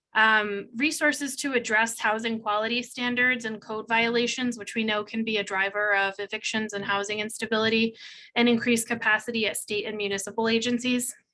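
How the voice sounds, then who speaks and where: Speaking at a fairly quick pace, a woman with a fairly high pitch uses fairly even intonation and a bright, sharp tone. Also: hardly any pauses. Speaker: housing policy advocate. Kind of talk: policy presentation on a call. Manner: fast.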